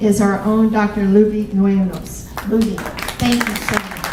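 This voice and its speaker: A woman with a Southern US accent is heard with audible room echo and noticeable background noise. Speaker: college campus president. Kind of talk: welcome speech.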